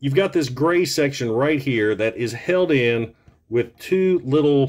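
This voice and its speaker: Against a quiet background, a man speaks with lively intonation. His pace is very slow. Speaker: toy reviewer. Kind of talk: casual product review to camera. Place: home room.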